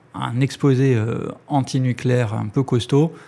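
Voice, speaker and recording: At a very slow pace, a man talks with a medium pitch and fairly even intonation. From France, Ariège. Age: 30s. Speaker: cooperative co-founder. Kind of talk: interview. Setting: office. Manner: halting.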